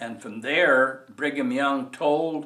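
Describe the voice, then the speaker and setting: A man with a Utah accent at a very slow pace, with audible room echo. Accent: western US (Utah). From Utah, Salt Lake City. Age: 70s. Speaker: oral history interviewee. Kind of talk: oral history interview. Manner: halting, many fillers.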